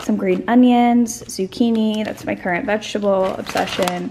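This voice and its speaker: The speaker keeps a moderate pace and ordinary pitch variation over noticeable background noise. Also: woman. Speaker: vlogger. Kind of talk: casual vlog chat. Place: kitchen. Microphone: phone near.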